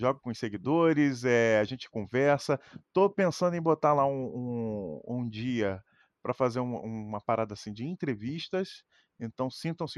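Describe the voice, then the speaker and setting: In a dry, close sound with no echo and a quiet background, a man with an ordinary speaking voice talks at a medium pitch and a moderate pace with lively intonation. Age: 30s. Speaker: streamer. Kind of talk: casual chat.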